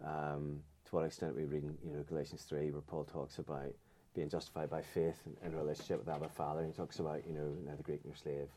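A man's very deep, low voice with a dark, mellow tone, very fast and in a flat monotone. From Northern Ireland, County Antrim. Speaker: Presbyterian minister. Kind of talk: casual interview conversation.

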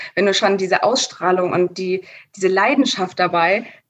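An unremarkable speaking voice from a woman at medium pitch. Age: 20s. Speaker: store manager. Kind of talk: interview.

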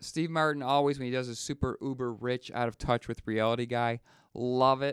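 The recording is very clean, with a silent background. A man with a Western New York accent talks at a moderate pace with fairly even intonation. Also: medium pitch for a man, dry, close sound with no echo. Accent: Western New York (Inland North) American. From Western New York, near Buffalo. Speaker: podcast co-host. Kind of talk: casual chat. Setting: studio.

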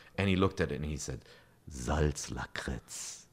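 In a German accent, a man talks with lively intonation and vocal fry. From Germany. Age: 40s. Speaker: video game media executive. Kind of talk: casual interview.

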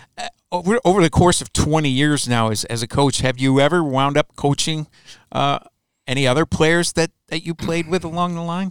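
Heard in a dry, close sound with no echo, a man with an American accent uses a normal speaking voice, fairly high in pitch, with ordinary pitch variation at a moderate pace. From US Midwest, Chicago. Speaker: hockey team web show host. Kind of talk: interview.

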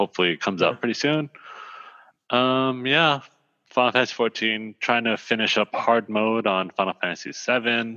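A man talks in a normal speaking voice at a moderate pace, with ordinary pitch variation. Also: medium pitch for a man. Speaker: co-host. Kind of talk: casual chat.

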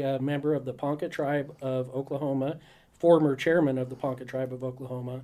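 A man talks with an American accent and a dark, mellow tone. His intonation stays fairly even. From southwest Kansas, Dodge City. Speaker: state park manager. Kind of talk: radio interview. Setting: radio studio.

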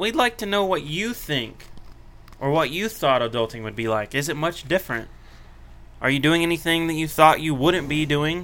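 This man has an unremarkable speaking voice, pitched fairly high. His intonation is lively. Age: 20s. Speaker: podcast co-host. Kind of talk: casual chat.

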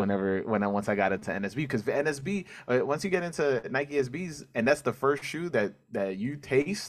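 The recording is very clean, with a silent background. The speaker has a New York accent, a moderate pace and ordinary pitch variation. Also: man. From New York City (Corona, Queens). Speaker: podcast host, guest. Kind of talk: casual chat.

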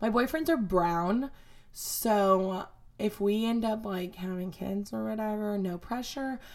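A woman talks fairly slowly at a medium pitch with ordinary pitch variation. Hers is an unremarkable speaking voice. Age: 20s. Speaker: podcast host. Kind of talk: casual solo chat. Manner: casual, filler-heavy.

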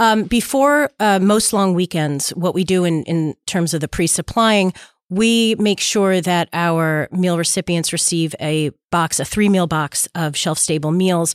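Speaking at a fairly slow pace, a woman with an unremarkable speaking voice keeps a fairly low pitch, ordinary pitch variation and very even loudness. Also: dry, close sound with no echo. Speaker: nonprofit executive. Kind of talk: interview answers.

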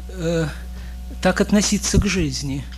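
A nervous-toned man with a Russian accent, music in the background. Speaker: poet. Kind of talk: poetry reading in Russian.

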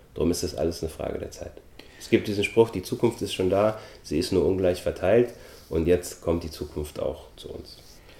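The loudness swings widely. The pace is moderate. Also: man. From Austria. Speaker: actor and film producer. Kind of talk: interview.

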